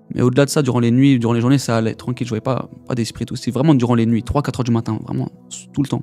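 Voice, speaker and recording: Music plays in the background as a man speaks very fast. His voice sits at a medium pitch with fairly even intonation. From Paris region, France (Essonne). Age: 20s. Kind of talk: testimony. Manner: casual slangy.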